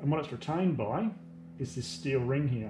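A man talks at a moderate pace. Behind him, noticeable background noise is audible. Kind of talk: tutorial. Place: workshop. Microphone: phone near.

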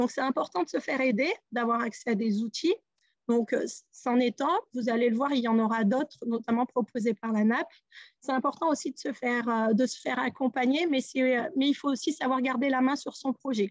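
A woman's high-pitched voice at a moderate pace, ordinary pitch variation, dry sound with no echo and a quiet background. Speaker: care home director; webinar speaker. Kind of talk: webinar presentation. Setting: Zoom webinar. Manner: hesitant, repeats words. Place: office. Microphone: video call.

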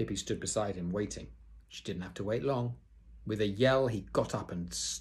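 The speaker reads the text aloud in a natural voice.

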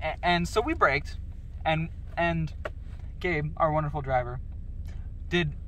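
Long, frequent pauses break up the fairly slow speech. The sound is dry with no echo, over light background noise. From Canada. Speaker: podcast host unboxing toys. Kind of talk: casual chat. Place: car.

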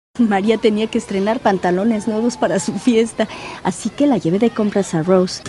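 A woman speaks at a moderate pace in a fairly high voice with ordinary pitch variation, over noticeable background noise. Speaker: voice actor. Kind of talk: TV commercial read.

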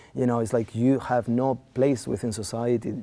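Speaking with a Spanish accent, a man with a dark, mellow tone talks at a fairly quick pace with fairly even intonation. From Spain. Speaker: philosopher and filmmaker. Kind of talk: interview. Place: studio.

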